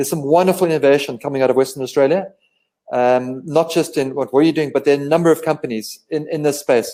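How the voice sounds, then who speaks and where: A man's fairly high voice with a dark, mellow tone and ordinary pitch variation. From South Africa. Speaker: medical company representative. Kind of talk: live online interview. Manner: halting, with many repetitions and fillers.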